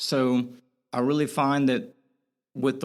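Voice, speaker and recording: On a very clean recording with a silent background, a man with an American accent talks at a medium pitch. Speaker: spinal cord injury survivor and motivational channel owner. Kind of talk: podcast interview.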